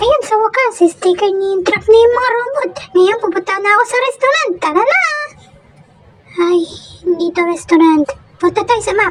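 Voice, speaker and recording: This cartoonish character voice sits at an extremely high pitch, moving at a moderate pace with long, frequent pauses. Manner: chatty, thinking aloud.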